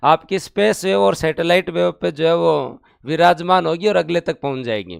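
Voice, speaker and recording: Moderate pace from a man with a high pitch and very wide pitch swings. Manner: loud, mock-boasting.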